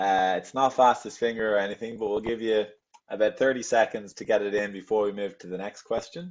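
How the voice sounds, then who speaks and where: This man talks at a fairly quick pace with a fairly low pitch, ordinary pitch variation and big swings in loudness. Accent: Dublin. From Ireland, Dublin. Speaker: travel agent, webinar host. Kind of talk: quiz in a live webinar. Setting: video call webinar.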